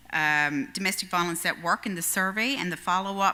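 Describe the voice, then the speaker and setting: Speaking fairly quickly, a woman has a bright, sharp tone. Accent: Newfoundland. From Newfoundland. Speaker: union educator. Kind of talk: presentation. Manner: fast.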